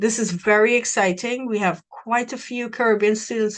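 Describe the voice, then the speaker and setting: Against a quiet background, a woman is talking. Her pace is moderate. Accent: Trinidadian. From Trinidad. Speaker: university recruiter. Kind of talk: presentation.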